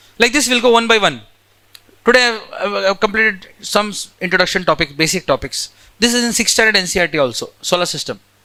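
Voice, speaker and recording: This man talks at a fairly quick pace in a raised, projected voice, his pitch high and his tone bright and sharp, with ordinary variation in pitch. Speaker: geography teacher. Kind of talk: lecture.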